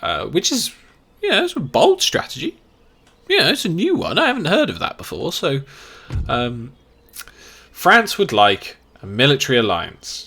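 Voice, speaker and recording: At a fairly slow pace, a man talks in a British accent. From England. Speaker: game streamer. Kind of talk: live gameplay commentary. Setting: live stream.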